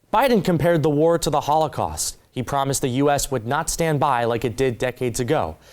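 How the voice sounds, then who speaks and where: At a fairly quick pace, an unremarkable speaking voice delivers its words with ordinary pitch variation. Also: man. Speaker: reporter and news anchor. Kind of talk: field news report.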